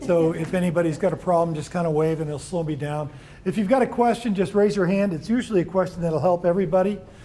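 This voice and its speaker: Amid noticeable background noise and audible room echo, a man with an American accent speaks very fast at a high pitch with ordinary pitch variation. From New York. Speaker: employment lawyer. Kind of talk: seminar lecture. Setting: room with live audience.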